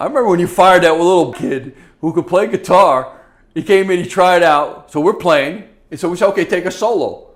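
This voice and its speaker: This man talks loudly and fairly quickly, his high voice moving up and down in an ordinary way. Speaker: former prison inmate. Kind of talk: casual chat. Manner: loud and boisterous; animated.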